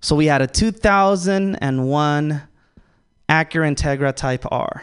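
Speaking with fairly even intonation, a man talks in an American accent. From Los Angeles, Salvadoran family. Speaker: stand-up comedian. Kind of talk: stand-up. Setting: stage with audience.

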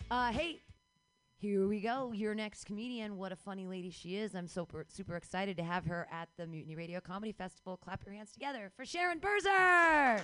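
Her intonation is lively. This woman talks at a fairly quick pace with a medium pitch. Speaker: comedy show emcee. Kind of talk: live show hosting. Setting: stage with audience. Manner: animated.

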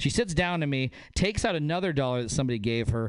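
In an American accent, a plain, everyday voice speaks with lively intonation. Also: man. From northern Nevada. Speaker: comedian. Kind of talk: stand-up.

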